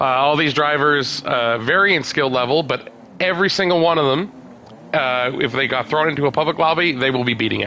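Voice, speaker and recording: Noticeable background noise sits under this man's voice. He has a fairly high pitch and keeps his loudness very even. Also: ordinary pitch variation, fairly quick pace. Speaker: racing league live-stream commentator. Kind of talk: live commentary. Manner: casual, hesitant with fillers.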